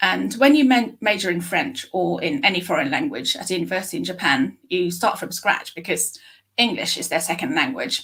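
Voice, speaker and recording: A woman with a British accent speaks at a medium pitch, her voice showing vocal fry and very wide pitch swings. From UK. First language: Japanese. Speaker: speech scientist. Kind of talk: interview. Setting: live stream.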